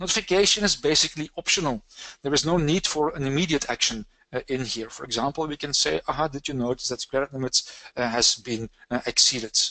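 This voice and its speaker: A man's very fast, bright, sharp voice, fairly high in pitch with ordinary variation. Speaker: software trainer presenting a technical session. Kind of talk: technical webinar presentation. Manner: hesitant, frequent uh fillers.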